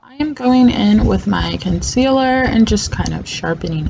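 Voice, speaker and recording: Noticeable background noise accompanies the woman as she speaks at a fairly slow pace. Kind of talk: makeup tutorial voiceover. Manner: casual, chatty.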